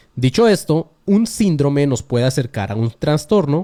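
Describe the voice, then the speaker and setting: A man with a Mexican accent speaks in a dark, mellow tone at a fairly high pitch with very wide pitch swings, in a dry, close sound with no echo. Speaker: podcast host. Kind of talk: casual monologue podcast. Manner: fast.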